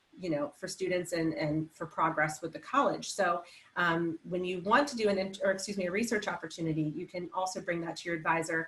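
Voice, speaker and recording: Over noticeable background noise, a woman speaks at a fairly quick pace with a fairly low pitch and ordinary pitch variation. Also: hardly any pauses. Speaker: academic advisor. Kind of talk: information session presentation. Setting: virtual online session. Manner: fast.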